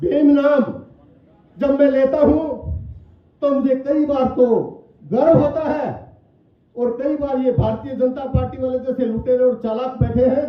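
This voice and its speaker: Loud and extremely high in pitch, a man's voice carries audible room echo. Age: 60s. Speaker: politician. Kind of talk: political speech.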